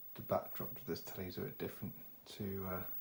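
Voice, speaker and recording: A man mumbles quietly in a somewhat breathy voice with a dark, mellow tone. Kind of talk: casual talk to camera. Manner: quiet, occasional mumbling.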